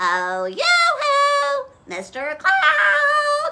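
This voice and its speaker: The speaker uses a put-on character voice, raised and projected. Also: female-sounding voice, extremely high pitch for a woman. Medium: read story.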